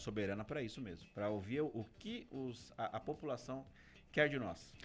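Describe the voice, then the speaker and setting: A man at medium pitch speaks at a moderate pace. His intonation is lively. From Brazil, Guarulhos (São Paulo). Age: 40s. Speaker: political candidate. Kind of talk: radio interview.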